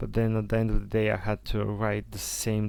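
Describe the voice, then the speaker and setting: A man speaks with a Bulgarian accent. His pace is moderate. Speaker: content creator. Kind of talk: casual vlog monologue. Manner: halting, many fillers and restarts.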